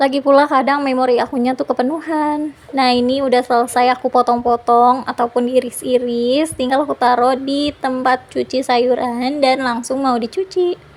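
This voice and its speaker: The delivery is monotone and flat, at a moderate pace with hardly any pauses. Noticeable background noise runs underneath. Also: woman, high pitch for a woman. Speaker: homemaker vlogger. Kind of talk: vlog voiceover narration. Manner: casual, chatty.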